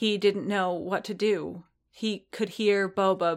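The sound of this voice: It is an unforced reading voice with fairly even intonation. The background is quiet.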